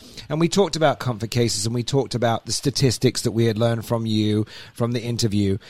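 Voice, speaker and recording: A man's medium-pitched voice in an English accent, very fast, with ordinary pitch variation and a dry, close sound with no echo. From England. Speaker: podcast host. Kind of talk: casual chat. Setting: studio.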